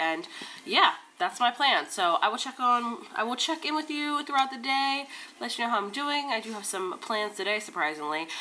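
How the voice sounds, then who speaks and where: A woman speaks at a fairly quick pace, her fairly high voice making very wide pitch swings. Background noise is noticeable. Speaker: book vlogger. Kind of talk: casual vlog.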